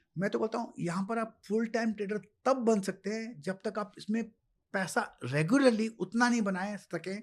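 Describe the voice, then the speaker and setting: Using ordinary pitch variation, a man talks in a high pitch. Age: 70s. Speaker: stock market expert. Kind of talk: interview.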